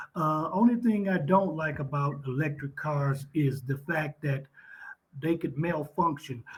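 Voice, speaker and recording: This man's pitch sits fairly high and varies in an ordinary way. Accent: Texan. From Texas. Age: 50s. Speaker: retired police officer, online English tutor. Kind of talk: casual chat.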